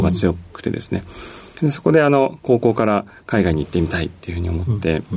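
A man at a fairly quick pace, his pitch swinging very widely. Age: 40s. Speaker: company CEO. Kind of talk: radio interview. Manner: polite formal with many fillers.

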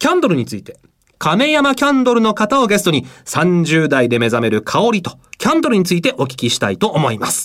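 A man with a high pitch talks at a fairly quick pace with very wide pitch swings. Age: 30s. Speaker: radio announcer. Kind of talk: radio talk show. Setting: studio.

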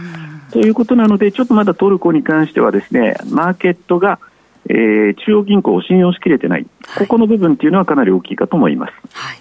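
A man's high voice races at a very fast pace with very wide pitch swings. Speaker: market analyst. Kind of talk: market commentary on radio. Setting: phone call. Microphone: phone line.

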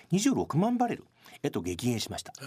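This man's voice has a dark, mellow tone and moves through very wide pitch swings. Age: 50s. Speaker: Middle East expert, economic researcher and former newspaper correspondent. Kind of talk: radio interview.

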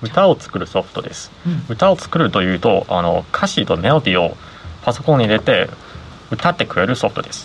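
The pitch swings very widely at a fairly quick pace, with noticeable background noise behind it. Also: man, medium pitch for a man. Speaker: software engineer and company founder. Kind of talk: interview.

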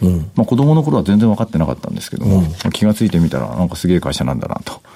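Against noticeable background noise, a man races along at a very fast pace in a fairly low pitch with very wide pitch swings. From Japan, Toyama Prefecture. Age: 40s. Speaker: company CEO. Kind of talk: interview. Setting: studio.

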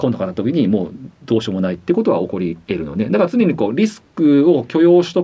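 Very fast and full of vocal fry, a man's voice makes very wide pitch swings. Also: medium pitch for a man. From Japan, Hiroshima (Fukuyama). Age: 40s. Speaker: former international football referee. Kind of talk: radio interview.

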